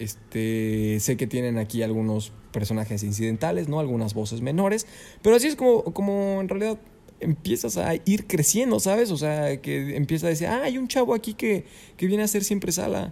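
A man with a Mexican accent has a fairly high pitch and a dark, mellow tone. He speaks at a moderate pace with very wide pitch swings. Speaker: voice actor and announcer. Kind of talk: interview. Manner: clear diction.

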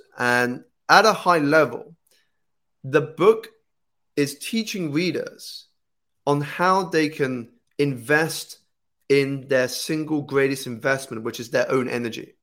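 A man with a British accent and a fairly high pitch talks at a very slow pace, with ordinary pitch variation and long, frequent pauses. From United Kingdom. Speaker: life coach and author. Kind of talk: casual interview conversation. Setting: video call.

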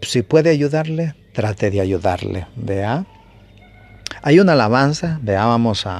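A man's medium-pitched voice at a fairly slow pace, with lively intonation. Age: 50s. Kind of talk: sermon. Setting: home broadcast. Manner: halting.

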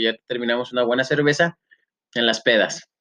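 With a Mexican accent, a man speaks in a bright, sharp tone, the sound dry and close with no echo. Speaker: podcast co-host, teacher. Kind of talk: casual chat.

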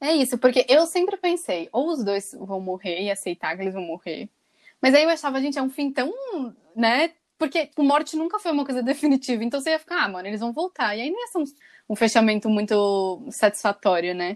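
A woman speaks at a high pitch and a fairly quick pace, her pitch swinging very widely. The sound is dry and close with no echo. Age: 20s. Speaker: podcast co-host. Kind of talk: casual chat.

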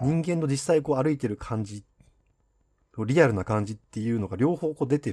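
Very wide pitch swings run through this dark, mellow tone. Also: man. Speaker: podcast host. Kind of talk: casual chat.

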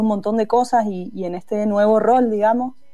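Her tone is dark and mellow. This woman's voice sits at a medium pitch. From Mendoza, Argentina. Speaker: singer-songwriter. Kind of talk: casual interview.

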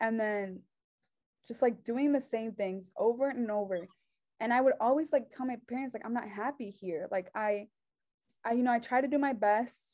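With a Mexican accent, a woman of fairly high pitch and a dark, mellow tone speaks at a moderate pace with ordinary pitch variation. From Mexico, raised there after US birth. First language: Spanish. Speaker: journalism student. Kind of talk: testimony.

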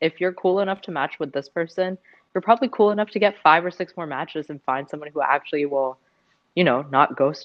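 Her ordinary speaking voice sits fairly low in pitch as this woman talks at a fairly quick pace with lively intonation and big swings in loudness. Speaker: podcast co-host. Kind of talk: casual chat. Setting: remote recording.

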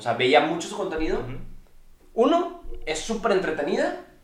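The pitch swings very widely. Audible room echo surrounds the voice. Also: man. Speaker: streamer. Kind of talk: casual chat.

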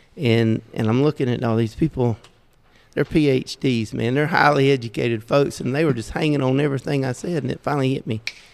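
Speaking at a fairly quick pace, a man with a Southern US accent uses ordinary pitch variation. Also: medium pitch for a man. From US South. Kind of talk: casual podcast chat.

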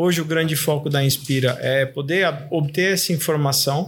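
A man with fairly even intonation amid noticeable background noise. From Brazil, São Paulo metro area. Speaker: graphic designer. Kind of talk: casual interview chat.

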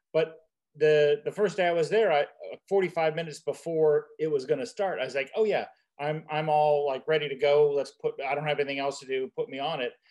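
With an unremarkable speaking voice, a man talks at a moderate pace using fairly even intonation. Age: 50s. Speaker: podcast host. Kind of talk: casual chat.

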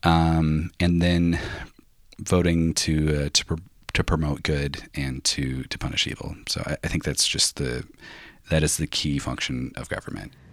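On a very clean recording with a silent background, a man with a very deep, low pitch talks in a monotone, flat intonation. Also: fairly slow pace. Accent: American. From US Northwest. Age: 20s. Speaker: interviewee, Trump voter. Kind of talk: interview answers.

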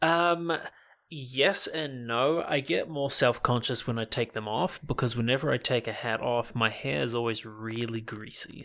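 With a New Zealand accent, a man speaks at a fairly slow pace and medium pitch. His tone is bright and sharp, with ordinary pitch variation. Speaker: internet content creator. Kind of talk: casual chat.

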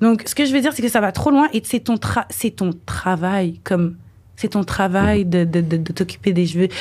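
On a very clean recording with a silent background, a woman at medium pitch speaks at a moderate pace with lively intonation, very even loudness and a somewhat breathy voice. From Quebec, Montreal. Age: 20s. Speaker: dancer and model. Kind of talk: casual chat.

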